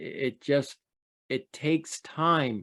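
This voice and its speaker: A man's voice with fairly even intonation, the sound dry and close with no echo. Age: 60s. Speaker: trauma survivor and trauma expert. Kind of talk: testimony. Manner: halting.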